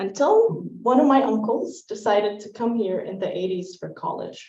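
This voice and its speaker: Talking at a fairly slow pace, a woman with an Arabic accent uses a fairly high pitch. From Syria, Damascus. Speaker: poet and public speaker. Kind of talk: personal storytelling talk.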